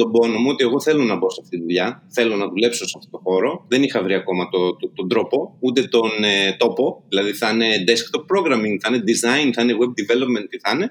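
A man talks at a very fast pace. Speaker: web developer and software entrepreneur. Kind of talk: casual interview.

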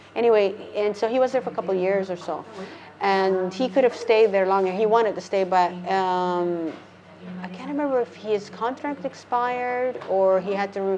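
At a moderate pace, a woman speaks in an unremarkable speaking voice with medium pitch and ordinary pitch variation. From Canada, Calgary. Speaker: flamenco dancer and English teacher living abroad. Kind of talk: casual interview.

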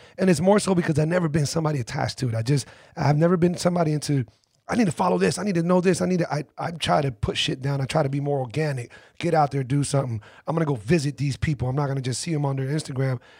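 A somewhat breathy man talks very fast. His pitch sits fairly high, with ordinary variation. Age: 40s. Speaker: podcast host. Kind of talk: casual interview chat. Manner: laid-back, conversational.

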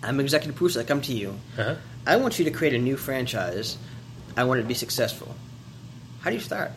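A man with a medium pitch and ordinary pitch variation speaks very fast but with long, frequent pauses. Noticeable background noise and audible room echo surround him. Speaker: podcast co-host. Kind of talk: casual chat.

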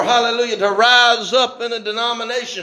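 An extremely high man's voice at a moderate pace, fairly even in intonation, with audible room echo and noticeable background noise. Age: 50s. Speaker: pastor. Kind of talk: evening church sermon, fervent call-and-response revival preaching. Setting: church service with congregation. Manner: impassioned, rhythmic preaching cadence punctuated by hallelujahs and amens; rising exhortation, urging congregation to shout praise.

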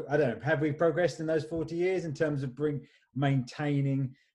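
The man's dark, mellow voice is somewhat breathy, fairly quick in pace and fairly even in intonation. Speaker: podcast host. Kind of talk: casual interview chat. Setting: video call.

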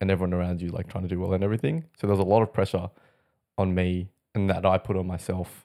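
In an Australian accent, a man with a very deep, low pitch and a dark, mellow tone speaks very fast and in a flat monotone, on a very clean recording with a silent background. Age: 20s. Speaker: airline industry worker. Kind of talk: casual chat.

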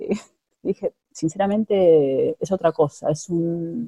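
Dry and close with no echo, a woman's somewhat breathy voice has a dark, mellow tone and lively intonation at a very slow pace. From Argentina, Buenos Aires. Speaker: immigrant interviewee. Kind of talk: interview. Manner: halting, many fillers and repetitions.

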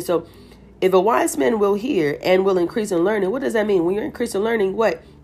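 An animated woman's voice with lively intonation, music in the background. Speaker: Bible reading podcaster. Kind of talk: Bible reading and devotional commentary. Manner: animated, exclamatory.

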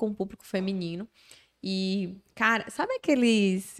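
Her pitch is in the middle range for a woman. She talks fairly slowly. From Bahia, Brazil. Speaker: social media influencer. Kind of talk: casual interview chat. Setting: studio. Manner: animated.

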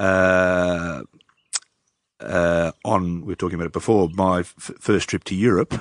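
Speaking fairly slowly, this man has an Australian accent. His pitch is very deep and low. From northwestern Victoria, Australia. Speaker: brewer and winemaker. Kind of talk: casual interview chat. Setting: on a farm.

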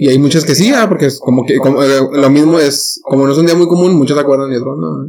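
Speaking at a fairly quick pace with a Mexican accent, a man uses a fairly high pitch and ordinary pitch variation. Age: 20s. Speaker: podcast co-host. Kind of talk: casual chat.

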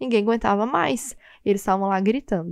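Against a quiet background, a woman speaks in an animated tone. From Brazil, Goiânia. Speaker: podcast host. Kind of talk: casual solo monologue.

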